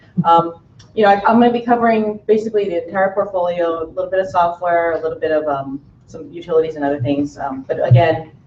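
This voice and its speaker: Someone talks at a very fast pace amid noticeable background noise and audible room echo. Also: woman, fairly low pitch for a woman, ordinary pitch variation. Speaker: product manager. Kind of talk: conference presentation.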